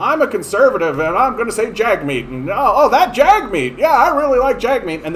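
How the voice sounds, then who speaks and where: Over clear background noise, a man in a put-on character voice speaks at an extremely high pitch and a fairly quick pace, with hardly any pauses. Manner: mocking, sneering, exaggerated.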